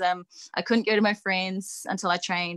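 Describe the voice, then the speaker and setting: Moderate-paced speech from a woman, pitch varying in an ordinary way. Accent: New Zealand. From New Zealand (Nelson, Christchurch). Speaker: wrestler and coach. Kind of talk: interview.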